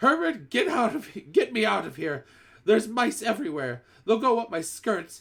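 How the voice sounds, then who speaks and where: A man shouts in a shrill, high-pitched put-on character voice at a moderate pace. His pitch swings very widely. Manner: screaming, panicked.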